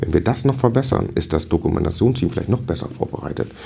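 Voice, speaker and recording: A man at a very fast pace with lively intonation, over noticeable background noise. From northern Germany (Dithmarschen). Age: 40s. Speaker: district fire brigade chief. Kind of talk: interview.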